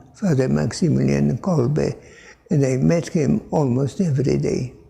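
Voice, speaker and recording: This is a man's voice. He speaks with a Polish accent. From Poland. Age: 80s+. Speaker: Franciscan priest. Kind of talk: interview answer.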